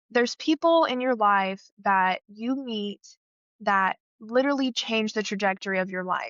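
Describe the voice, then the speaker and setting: Speaking at a moderate pace, a woman with an American accent has a fairly high pitch. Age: 20s. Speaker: scholarship recipient, theater student. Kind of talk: interview.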